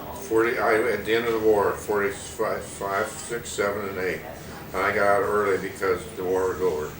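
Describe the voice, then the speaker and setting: Over noticeable background noise, a man with an American accent speaks at a moderate pace and fairly low pitch, his intonation monotone and flat. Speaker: WWII army veteran. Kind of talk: interview answer.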